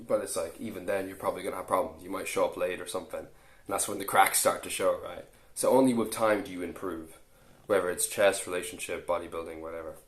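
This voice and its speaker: In an Irish accent, a man talks at a very fast pace with big swings in loudness and audible room echo. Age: 20s. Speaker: fitness coach and YouTuber. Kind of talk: casual vlog monologue. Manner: halting, many restarts.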